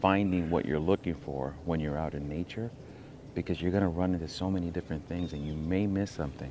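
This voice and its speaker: With an American accent, a man speaks at a fairly quick pace in a very deep, low pitch and fairly even intonation, with noticeable background noise. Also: dry sound with no echo. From US. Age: old. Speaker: nature vlogger. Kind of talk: casual vlog monologue. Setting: outdoors. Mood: playful, joking. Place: forest. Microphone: poor audio; phone near.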